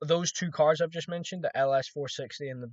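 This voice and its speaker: A man is speaking. He has a slight Scottish accent. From Scotland. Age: 20s. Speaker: trading vlogger. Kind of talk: casual monologue vlog. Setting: recording to camera. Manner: rambling, hesitant with restarts.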